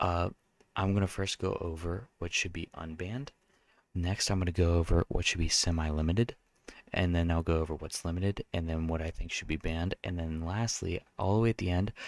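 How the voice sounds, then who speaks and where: The voice is soft-spoken with fairly even intonation. The sound is dry and close, with no echo. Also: man, very deep, low pitch for a man, very clean recording, silent background. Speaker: card game content creator. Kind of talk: casual commentary video. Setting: at home late at night. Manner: hesitant with fillers.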